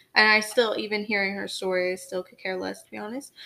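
Fairly quick speech from a woman at medium pitch. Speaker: podcast co-host. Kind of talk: casual, conversational.

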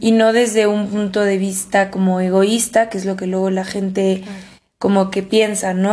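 With a dark, mellow tone and a medium pitch, a woman talks in a monotone, flat intonation, and the room echo is audible. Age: 20s. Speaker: podcast co-host. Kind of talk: casual chat.

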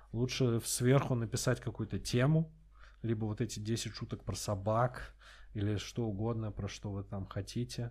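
Somewhat breathy, a man talks at a moderate pace with fairly even intonation. The recording is very clean, with a silent background. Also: medium pitch for a man. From Russia, Astrakhan. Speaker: stand-up comedian. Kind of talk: casual chat.

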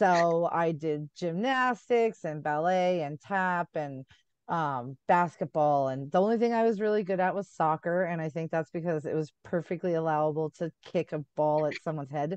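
The voice keeps a moderate pace and ordinary pitch variation, in a dry, close sound with no echo and a quiet background. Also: woman. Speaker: author. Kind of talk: casual chat. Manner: animated.

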